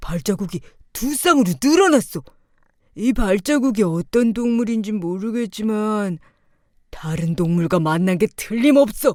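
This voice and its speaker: On a very clean recording with a silent background, a woman does a put-on character voice at a medium pitch. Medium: read story. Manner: slow, musing.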